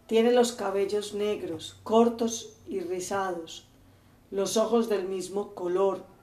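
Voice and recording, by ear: Someone reads aloud in a natural voice.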